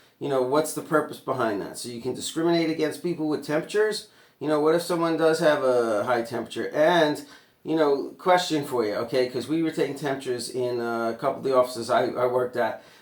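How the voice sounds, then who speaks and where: The delivery is animated and very fast, with ordinary pitch variation. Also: man. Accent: New York. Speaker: vlogger. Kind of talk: rant.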